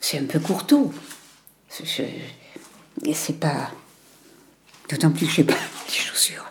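Over noticeable background noise, a whispering voice moves very slowly, broken by long, frequent pauses. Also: woman. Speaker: documentary interviewee, grandmother. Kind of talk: intimate conversation. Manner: halting.

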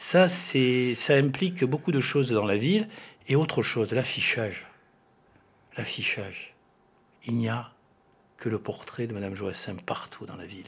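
Fairly slow, lively-intoned speech from a man, with big swings in loudness and long, frequent pauses. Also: medium pitch for a man. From Spanish roots. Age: 50s. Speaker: law professor and municipal candidate. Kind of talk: radio interview. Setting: studio.

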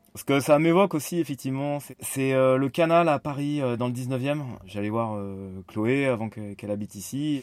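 A man speaks at a medium pitch and a moderate pace. His pitch varies in an ordinary way, while his loudness swings a lot. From France, Nantes. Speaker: interviewee. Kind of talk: personal reflection. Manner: halting.

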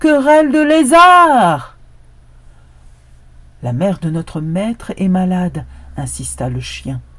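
A woman's voice at a very slow pace, with very wide pitch swings. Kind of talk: folktale storytelling, scripted narration of a fable with a moral. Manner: solemn, proverb-like delivery in the opening moral.

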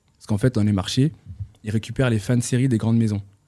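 A man's dark, mellow voice at medium pitch. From northern France, Roubaix and Tourcoing. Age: 20s. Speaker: clothing brand founder. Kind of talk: interview.

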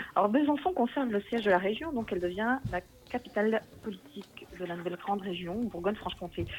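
A woman's medium-pitched voice at a very fast pace, lively in intonation, with noticeable background noise. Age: 40s. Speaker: local politician and schoolteacher. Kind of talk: interview. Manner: hesitant, with fillers and repetitions.

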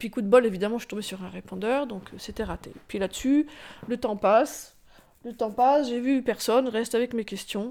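Ordinary pitch variation alongside big swings in loudness. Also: woman, fairly high pitch for a woman. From France, Rambouillet. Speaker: former nun. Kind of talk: testimony. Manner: halting.

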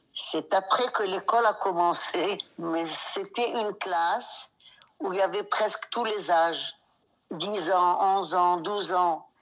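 Very slowly, a woman speaks at medium pitch with fairly even intonation. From Morocco, then Israel from age 11. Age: 70s. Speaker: grandmother, interviewee. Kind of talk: storytelling; voice message. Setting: at home.

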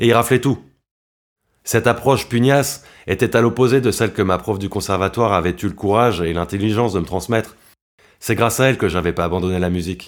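On a very clean recording with a silent background, a man with a fairly low pitch and ordinary pitch variation talks very fast, broken by long, frequent pauses. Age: 30s. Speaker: violinist and composer. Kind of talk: autobiographical narration.

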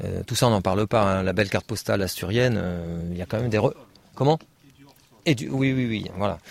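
The speech runs at a very fast pace with ordinary pitch variation, broken by long, frequent pauses. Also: man, fairly low pitch for a man. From Paris region, France. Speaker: naturalist. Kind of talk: talk to an audience. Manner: halting.

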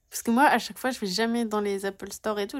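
Very clean and recorded against a silent background, a woman speaks at a very fast pace. Her intonation stays fairly even. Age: 20s. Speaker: podcast co-host, sociology master's student. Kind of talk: casual chat.

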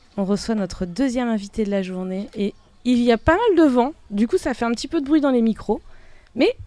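In a dark, mellow tone, a woman speaks at a moderate pace with lively intonation. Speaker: festival radio host. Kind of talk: live radio show. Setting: outdoors.

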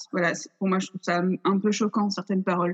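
A woman's somewhat breathy voice of medium pitch, fairly even in intonation, at a moderate pace. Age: 20s. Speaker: theatre student and stage director. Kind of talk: casual interview. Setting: video call. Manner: hesitant.

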